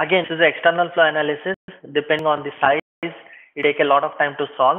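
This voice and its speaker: A fairly high male voice with fairly even intonation. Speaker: software trainer. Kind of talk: lecture. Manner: fast; halting.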